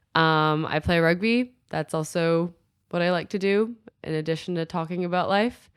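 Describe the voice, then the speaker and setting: In a very clean recording with a silent background, a woman with an American accent speaks in a plain, everyday voice at a moderate pace, with a fairly low pitch and ordinary pitch variation. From China, Shanghai. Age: 20s. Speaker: professional rugby player. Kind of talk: interview.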